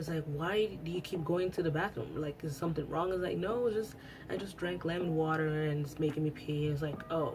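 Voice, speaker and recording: Music in the background behind a woman's very deep, low voice, with ordinary pitch variation and a fairly quick pace. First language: Italian. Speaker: beauty YouTuber. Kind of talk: casual vlog chat. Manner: hesitant with fillers and restarts.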